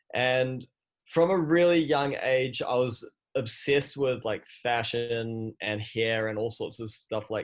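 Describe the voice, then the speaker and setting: Here a man talks with a New Zealand accent and fairly even intonation. The background is quiet. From New Zealand, Christchurch. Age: 30s. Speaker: fashion entrepreneur. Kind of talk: podcast interview.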